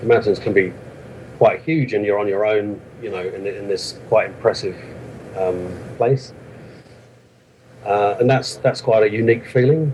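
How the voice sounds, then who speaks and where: This man has a southern English accent and a fairly low pitch. He talks at a moderate pace with ordinary pitch variation and long, frequent pauses. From London, England. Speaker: author of a hiking book. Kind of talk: interview. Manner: hesitant, many fillers.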